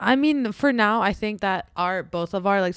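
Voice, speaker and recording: This woman has a normal speaking voice with lively intonation at a moderate pace. The sound is dry and close, with no echo. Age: 20s. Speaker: podcast co-host. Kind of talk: casual chat.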